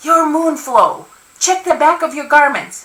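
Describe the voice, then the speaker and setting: At a medium tempo, someone talks in a put-on character voice. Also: woman, extremely high pitch for a woman. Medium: read story.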